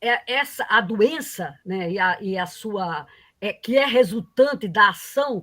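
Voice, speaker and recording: A woman speaks very slowly with lively intonation and a somewhat breathy voice, on a very clean recording with a silent background. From Paraíba, Northeast Brazil. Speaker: economics professor. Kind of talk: lecture. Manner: halting, many fillers.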